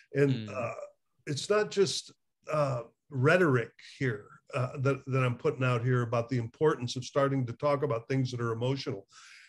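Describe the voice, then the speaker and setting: A somewhat breathy male voice at a moderate pace, with ordinary pitch variation. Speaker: addiction recovery therapist. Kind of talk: casual conversation. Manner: animated, laughs often. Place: home room. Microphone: webcam.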